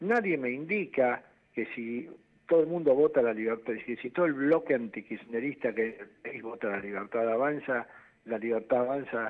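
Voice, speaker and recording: This man speaks with a medium pitch and ordinary pitch variation. His pace is moderate. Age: 60s. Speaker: constitutional lawyer and political candidate. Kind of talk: interview. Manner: animated.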